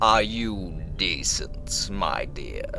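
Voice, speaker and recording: Someone uses a put-on character voice. Loud background noise fills the recording. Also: man. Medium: read story. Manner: gentle, formal, calling her "my dear".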